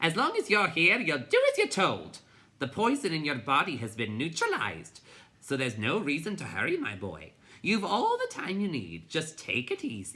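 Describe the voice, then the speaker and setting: This is a put-on character voice at a middle pitch. It has a rumbling sound. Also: moderate pace. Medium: read story. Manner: bossy, grumbling.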